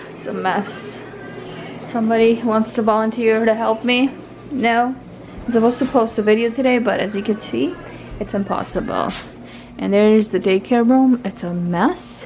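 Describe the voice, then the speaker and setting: A woman talks at a moderate pace, with big swings in loudness and long, frequent pauses. Her pitch varies in an ordinary way over light background noise. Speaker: mother vlogger. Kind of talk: casual vlog chat. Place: home room. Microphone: phone near.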